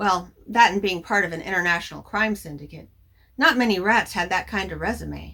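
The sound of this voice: Pitch variation here is ordinary. It belongs to an unforced reading voice.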